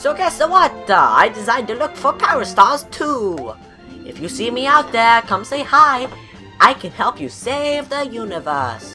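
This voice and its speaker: A female-sounding voice uses a put-on character voice at a high pitch for a woman, with clear music in the background. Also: moderate pace. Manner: enthusiastic, friendly.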